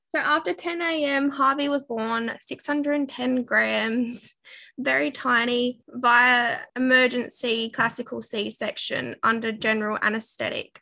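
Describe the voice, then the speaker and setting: The voice has a bright, sharp tone and ordinary pitch variation, moving at a very slow pace with hardly any pauses. The recording is very clean, with a silent background. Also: woman, high pitch for a woman. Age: 20s. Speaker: stay-at-home mum and family vlogger. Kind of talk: casual interview, personal testimony. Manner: hesitant with many fillers.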